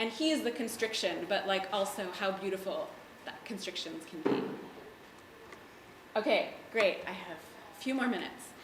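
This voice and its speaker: With an American accent, the speaker goes at a moderate pace with ordinary pitch variation, big swings in loudness and long, frequent pauses, while noticeable background noise and audible room echo are present. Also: woman, medium pitch for a woman. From mostly US, early childhood in Jerusalem. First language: Hebrew. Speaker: artist and educator. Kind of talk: panel talk. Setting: gallery with audience. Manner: casual, with fillers.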